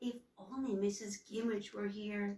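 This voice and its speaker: A woman puts on a shaky character voice at a medium pitch. Her delivery is monotone and flat, moving at a moderate pace. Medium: read story. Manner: meek, timid.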